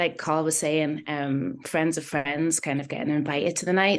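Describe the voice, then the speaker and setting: A woman with a very deep, low pitch and a slight Geordie accent, against a quiet background. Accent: slight Geordie twang. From northern England, Newcastle. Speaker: singer-songwriter. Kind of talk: casual interview chat. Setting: video call.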